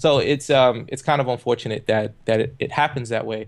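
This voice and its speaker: An energetic man talks at a very fast pace with an American accent. His pitch is medium, with ordinary variation. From Brooklyn, New York. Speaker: motivational speaker and author. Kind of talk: interview.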